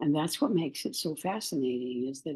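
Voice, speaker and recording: A woman's dark, mellow tone carries ordinary pitch variation. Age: 80s+. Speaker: spiritual workshop leader. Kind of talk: guided meditation. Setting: Facebook live stream. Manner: slow, calm.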